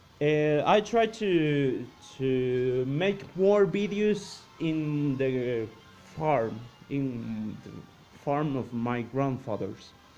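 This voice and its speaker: Music plays behind a man speaking at a very slow pace. His pitch is fairly high and his intonation lively. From Costa Rica. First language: Spanish. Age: 20s. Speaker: science and cosmos youtuber. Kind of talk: casual vlog talk. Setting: grandparents' farmhouse. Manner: halting, many repetitions and fillers.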